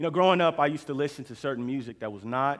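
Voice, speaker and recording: A man with an American accent talks at a fairly quick pace, his fairly high voice showing ordinary pitch variation. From Oklahoma City, US. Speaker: preacher. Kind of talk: sermon.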